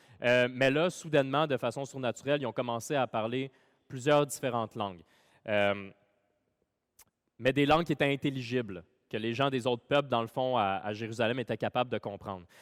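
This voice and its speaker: A man with a Quebec accent talks at a fairly quick pace with long, frequent pauses, a medium pitch and ordinary pitch variation, recorded very cleanly with a dry, close sound, no echo and a silent background. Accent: Québécois French. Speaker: pastor. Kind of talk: sermon. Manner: casual with many fillers.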